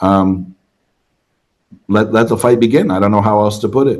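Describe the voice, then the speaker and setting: A man with a fairly low pitch and fairly even intonation speaks in an ordinary speaking voice. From Canada, Toronto. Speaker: travel content creator. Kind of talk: interview.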